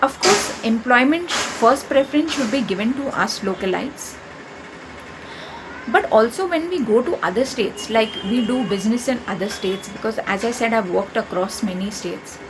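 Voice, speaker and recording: With an Indian accent, a woman talks at a moderate pace with lively intonation over noticeable background noise. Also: fairly high pitch for a woman. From India, Maharashtra (Konkan). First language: Konkani. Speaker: YouTuber. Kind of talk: opinion monologue.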